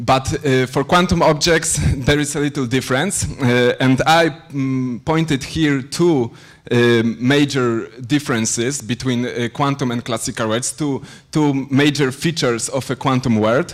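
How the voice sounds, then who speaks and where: A man with a Polish accent and a medium pitch speaks in a very clean recording with a silent background. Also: fairly even intonation, fairly slow pace. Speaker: PhD student lecturer. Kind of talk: lecture. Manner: halting, many fillers.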